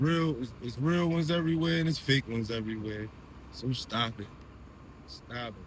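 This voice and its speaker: A man with an American accent at medium pitch and moderate pace, somewhat breathy, with lively intonation, long, frequent pauses, and audible room echo. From Delaware and Baltimore, US Mid-Atlantic. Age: 30s. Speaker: truck driver. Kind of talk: storytime monologue. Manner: casual, rambling with repetitions.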